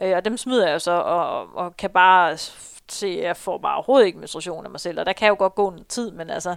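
In a very clean recording with a silent background, a woman with an unremarkable speaking voice talks at a fairly quick pace at medium pitch, with ordinary pitch variation and big swings in loudness. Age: 30s. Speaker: runner and marketing employee. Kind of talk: interview, personal story.

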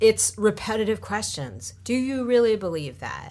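A woman's voice swings very widely in pitch. Vocal fry runs through her speech. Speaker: tech entrepreneur and investor. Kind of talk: interview. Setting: studio.

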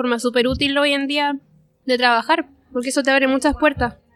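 This woman has a high-pitched voice with a bright, sharp tone. She talks at a moderate pace with fairly even intonation. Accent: Chilean. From Chile (Parral). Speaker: illustrator. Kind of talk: interview. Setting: restaurant.

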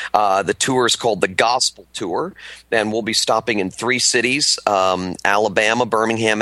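The pace is moderate. Pitch variation is ordinary. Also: man. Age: 40s. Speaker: pastor and author. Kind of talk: interview. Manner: many fillers (uh, um).

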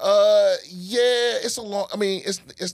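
A man speaks in a dry, close sound with no echo. The recording is very clean, with a silent background. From Washington DC area. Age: 40s. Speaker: comedian. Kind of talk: casual chat.

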